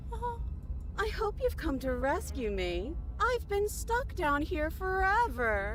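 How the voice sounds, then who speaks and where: A put-on, robotic character voice that sounds female speaks at a fairly slow pace over clear background noise. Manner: pleading.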